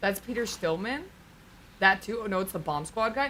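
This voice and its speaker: A woman speaks in an animated tone over noticeable background noise. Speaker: streamer. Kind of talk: casual chat. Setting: home stream. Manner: loud, projecting.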